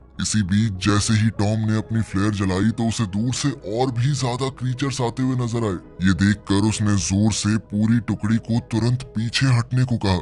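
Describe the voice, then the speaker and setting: Very even loudness and fairly even intonation at a moderate pace with hardly any pauses, over clear background noise. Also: man, medium pitch for a man. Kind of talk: movie explanation voice-over. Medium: read story. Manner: suspense-building storytelling.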